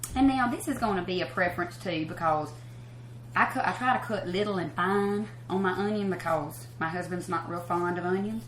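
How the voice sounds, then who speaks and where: A woman with a Southern US accent, fairly low in pitch and fairly quick, with very wide pitch swings, audible room echo and noticeable background noise. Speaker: country singer hosting a cooking show. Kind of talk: cooking show tutorial. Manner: fast; casual, chatty.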